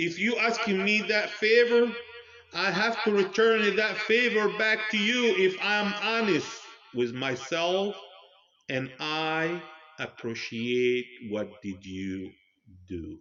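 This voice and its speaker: A loud man with a high pitch and lively intonation, at a very slow pace with long, frequent pauses. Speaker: religious commentator. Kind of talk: monologue. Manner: loud and clear.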